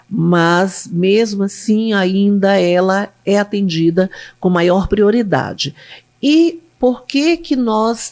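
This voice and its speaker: A woman speaks with lively intonation. Her loudness stays very even. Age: 60s. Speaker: public defender. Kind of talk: interview.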